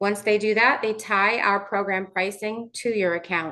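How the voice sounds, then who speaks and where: Against a quiet background, a woman of medium pitch speaks in a monotone, flat intonation with a bright, sharp tone. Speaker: vendor sales representative. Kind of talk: webinar presentation. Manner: fast.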